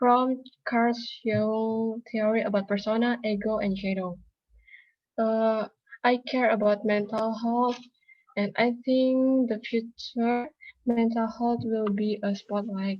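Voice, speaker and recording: A woman speaks very slowly at a fairly high pitch, somewhat breathy and monotone, flat in intonation, with long, frequent pauses. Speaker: psychology student. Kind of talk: class self-introduction speech.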